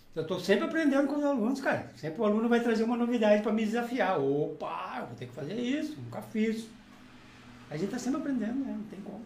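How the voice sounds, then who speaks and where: Very fast speech with lively intonation, audible room echo and noticeable background noise. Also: man, high pitch for a man. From southern Brazil (Rio Grande do Sul). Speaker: poet and music teacher. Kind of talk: casual chat.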